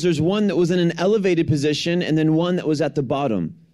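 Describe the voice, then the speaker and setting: Speaking at a very fast pace, a man with an American accent has a high pitch and ordinary pitch variation. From US Midwest, Detroit, Michigan. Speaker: guest preacher. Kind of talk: sermon. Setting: church.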